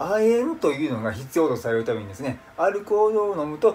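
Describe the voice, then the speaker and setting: Faint background music is audible. The talking moves fairly quickly. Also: man. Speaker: vlogger. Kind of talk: casual vlog chat. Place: home room. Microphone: phone near.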